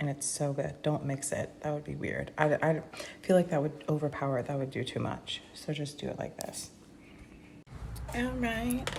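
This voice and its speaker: There is noticeable background noise. Over it, a woman whispers at a moderate pace. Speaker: vlogger. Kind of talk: casual vlog talk to camera. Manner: chatty, casual; whispering.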